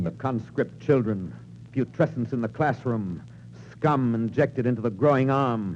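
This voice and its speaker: In a dramatic tone, a man speaks with vocal fry at a medium pitch and moderate pace, using ordinary pitch variation. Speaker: radio narrator / actor. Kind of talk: vintage radio drama narration, 1940s. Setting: old radio broadcast recording. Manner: dramatic, rhythmic, declamatory.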